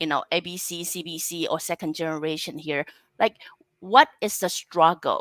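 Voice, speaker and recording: A woman speaks in a Chinese accent at a moderate pace. The sound is dry and close, with no echo. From Taiwan. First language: Mandarin Chinese. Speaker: talk show host. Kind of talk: interview. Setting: live online broadcast.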